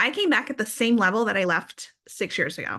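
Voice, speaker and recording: In an American accent, a woman speaks with a bright, sharp tone against a quiet background. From Philadelphia, Pennsylvania. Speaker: direct sales leader. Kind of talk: business presentation.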